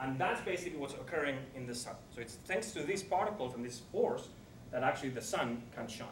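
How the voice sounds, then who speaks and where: Lively intonation at a fairly quick pace, with noticeable background noise and audible room echo. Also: man. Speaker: particle physicist lecturer. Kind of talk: lecture. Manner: fast.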